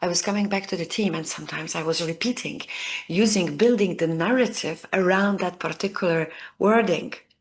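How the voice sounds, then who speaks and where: The speaker has a non-native accent and a moderate pace. The background is quiet. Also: woman. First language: not English. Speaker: leadership coach. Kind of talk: video lesson to camera.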